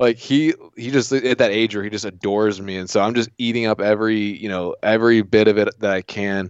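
With an American accent and a plain, everyday voice, a man talks at a fairly quick pace in a fairly low pitch, his intonation fairly even and hardly any pauses. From US South, southeast Virginia. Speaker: hunting podcaster. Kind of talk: casual interview.

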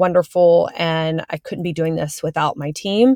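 A woman's unremarkable speaking voice with fairly low pitch, ordinary pitch variation and a moderate pace, in a dry, close sound with no echo and a very clean recording with a silent background. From Texas, Houston. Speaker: interior designer. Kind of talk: casual interview.

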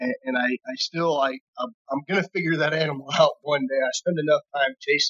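A man with an American accent and an ordinary speaking voice talks at a fairly quick pace with hardly any pauses, his fairly high pitch held in fairly even intonation while his loudness swings widely. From northeastern California. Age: 30s. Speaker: hunter. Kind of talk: casual chat.

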